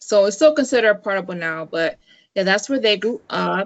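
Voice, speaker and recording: Her pitch is medium. The woman speaks in an American accent. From Northern Virginia, US (DC area). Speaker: guest, YouTuber. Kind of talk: casual interview chat. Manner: many fillers (um, you know, like).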